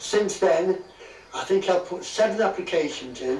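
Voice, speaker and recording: Audible room echo and noticeable background noise accompany speech at a moderate pace. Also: man. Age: 80s+. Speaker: retired landowner seeking planning permission. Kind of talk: news interview.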